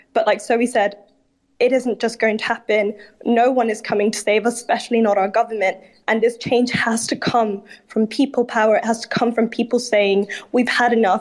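In an unremarkable speaking voice, the speaker keeps a moderate pace and fairly even intonation. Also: woman. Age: 20s. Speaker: student climate activist. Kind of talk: casual chat.

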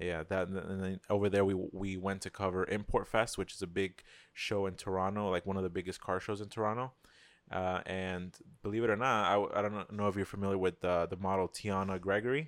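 Against a quiet background, a man talks at a fairly quick pace in a monotone, flat intonation. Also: fairly low pitch for a man. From South Florida, born in Queens, New York. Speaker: car photographer and videographer. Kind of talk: casual chat.

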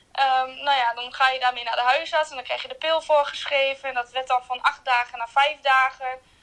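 Over noticeable background noise, a woman projects a raised, high-pitched voice at a fairly quick pace with hardly any pauses and flat, monotone intonation. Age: 20s. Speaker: hospital ward assistant with a chronic illness. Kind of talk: personal testimony interview. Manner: hesitant, many fillers.

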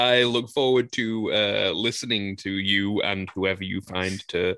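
A man's unremarkable speaking voice, fairly low in pitch, with fairly even intonation. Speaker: podcast host. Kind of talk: casual banter about fantasy football draft.

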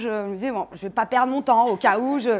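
The woman's voice shows ordinary pitch variation. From Paris, France. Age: 30s. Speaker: nonprofit director. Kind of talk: live talk to an audience.

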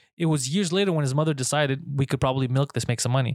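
A man with a Montreal accent, ordinary pitch variation, and a dry, close sound with no echo. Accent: Montreal anglophone English. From Montreal, Quebec. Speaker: stand-up comedian. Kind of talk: casual chat. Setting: studio.

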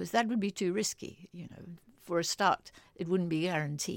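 A woman with a fairly low pitch and vocal fry talks at a moderate pace with ordinary pitch variation, captured in a very clean recording with a silent background. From Africa. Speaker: political economist. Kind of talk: interview.

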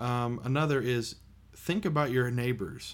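A man with an American accent talks at a moderate pace in a normal speaking voice, his pitch varying in an ordinary way. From United States. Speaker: podcast co-host. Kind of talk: casual chat.

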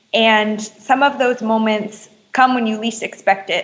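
Delivered at a fairly slow pace, an ordinary speaking voice keeps to fairly even intonation. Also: woman. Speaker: activist. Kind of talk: interview.

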